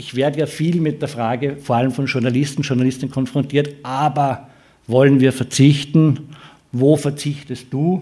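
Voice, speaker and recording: Fairly high-pitched man's voice, somewhat breathy with a dark, mellow tone, flat and monotone at a moderate pace. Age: 60s. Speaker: futures researcher. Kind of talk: lecture.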